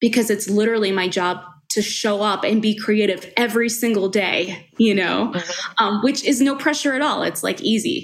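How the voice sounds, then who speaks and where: A woman with an American accent has an unremarkable speaking voice, fairly high in pitch with ordinary pitch variation. She keeps a moderate pace with hardly any pauses. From Long Island, New York. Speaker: writer and editorial director. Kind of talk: casual interview.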